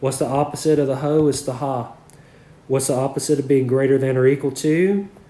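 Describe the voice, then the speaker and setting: A man talks at a medium pitch, and audible room echo can be heard. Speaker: math teacher. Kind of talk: lecture. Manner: conversational, frequent 'okay' and 'all right'.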